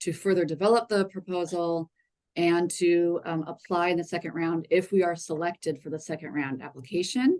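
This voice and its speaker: This is a normal speaking voice. Its pitch variation is ordinary. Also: woman. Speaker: city public art staff presenter. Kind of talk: public meeting presentation.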